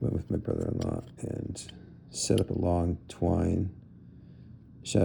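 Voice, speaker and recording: Very slowly, a man speaks in a very deep, low pitch with a dark, mellow tone and vocal fry. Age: 60s. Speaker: gun collector. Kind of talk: tutorial. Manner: halting, many fillers; casual.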